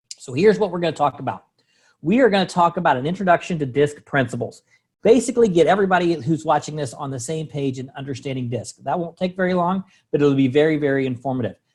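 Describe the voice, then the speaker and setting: This man talks at a very fast pace with lively intonation. His fairly high voice is somewhat breathy. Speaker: sales trainer and coach. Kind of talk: online training presentation.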